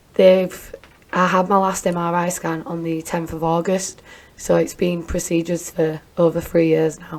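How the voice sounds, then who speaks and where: A woman's monotone, flat delivery at a moderate pace, over noticeable background noise. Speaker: domestic abuse survivor and business owner. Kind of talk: interview testimony.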